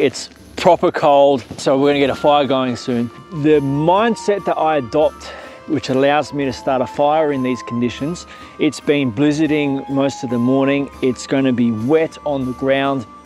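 With faint music in the background, a man speaks with ordinary pitch variation in a dry sound with no echo. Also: moderate pace. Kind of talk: tutorial. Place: forest.

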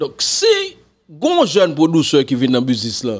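A man with a Haitian accent. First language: Haitian Creole (speaking French). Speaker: music commentator. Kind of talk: casual commentary to camera. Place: home room. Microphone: studio mic.

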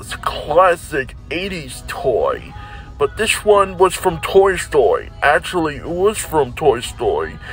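A man speaks at a very slow pace. Faint music plays behind a dry sound with no echo. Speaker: toy puppeteer vlogger. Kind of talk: casual vlog chat. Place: shop. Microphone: phone near.

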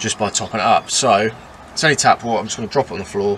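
A plain, everyday voice: a man at a fairly low pitch, fairly quick pace and ordinary pitch variation, with light background noise. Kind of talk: casual vlog chat. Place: car. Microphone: camera far.

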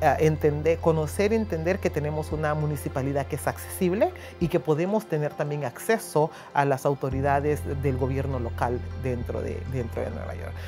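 Woman with a Honduran accent, very deep and low in pitch with very wide pitch swings, at a moderate pace over clear background music. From Honduras. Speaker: church and community liaison for immigrants. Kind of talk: interview answer. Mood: earnest, grateful. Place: office. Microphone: lapel.

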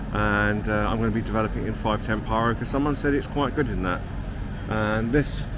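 Noticeable background noise around a man's voice, with a dry sound and no echo. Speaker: film photography vlogger. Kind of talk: casual vlog chat. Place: station. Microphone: phone near.

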